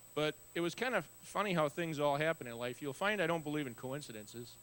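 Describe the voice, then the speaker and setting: Speaking at a very fast pace, a man with an American accent uses a fairly high pitch and ordinary pitch variation. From Wisconsin, US Upper Midwest (Neenah). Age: 60s. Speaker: guest speaker, author with muscular dystrophy. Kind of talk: testimony. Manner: conversational with frequent fillers.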